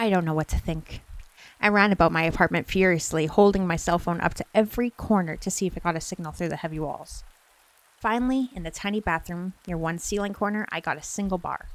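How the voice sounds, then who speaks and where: This soft-spoken voice moves at a very fast pace with ordinary pitch variation. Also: woman, fairly low pitch for a woman. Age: 20s. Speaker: streamer and ASMR story reader. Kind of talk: creepypasta bedtime story reading. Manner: soft-spoken, cozy.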